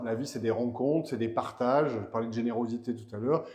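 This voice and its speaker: Over noticeable background noise, a man talks at medium pitch with fairly even intonation. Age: 60s. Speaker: director of a cultural venue and festival. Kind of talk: interview. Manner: halting, with many repetitions and fillers.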